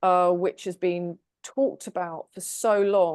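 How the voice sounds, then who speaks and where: With an English accent, a woman speaks at a medium pitch and a fairly slow pace, her intonation fairly even. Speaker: tarot reader. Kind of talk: casual group discussion.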